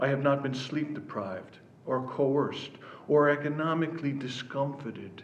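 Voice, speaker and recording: Audible room echo surrounds a man with an American accent who talks at a medium pitch and a fairly slow pace. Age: 60s. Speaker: author. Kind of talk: reading aloud.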